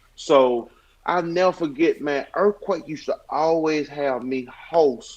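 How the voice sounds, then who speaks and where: With a Southern US accent, a man talks very slowly in a high-pitched voice. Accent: Southern, country. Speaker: stand-up comedian. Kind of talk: podcast interview, casual chat.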